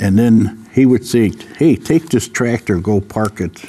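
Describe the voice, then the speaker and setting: A man talks at a medium pitch while noticeable background noise plays behind him. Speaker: senior panelist. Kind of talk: casual chat.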